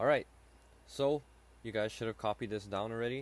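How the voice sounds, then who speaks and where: The man's voice sits at a medium pitch, and its pitch varies in an ordinary way. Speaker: high school math teacher. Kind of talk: lecture. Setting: screen recording. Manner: halting.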